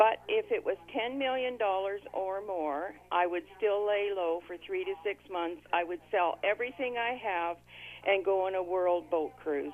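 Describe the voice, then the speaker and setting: A woman with a plain, everyday voice talks at a fairly slow pace, her medium pitch showing ordinary variation. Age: 60s. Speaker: radio caller. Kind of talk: call-in radio chat. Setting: phone call.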